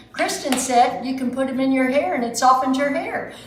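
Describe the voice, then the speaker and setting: In a room with audible echo and noticeable background noise, a woman talks at a moderate pace in an animated tone with a high pitch. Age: 60s. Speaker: home baker, cooking show host. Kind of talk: cooking tutorial. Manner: chatty, animated.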